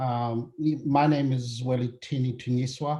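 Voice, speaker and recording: A man speaks in a somewhat breathy voice with a dark, mellow tone at medium pitch. His intonation stays monotone and flat. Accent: South African. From South Africa. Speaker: healthcare data consultant. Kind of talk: webinar presentation. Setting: webinar call.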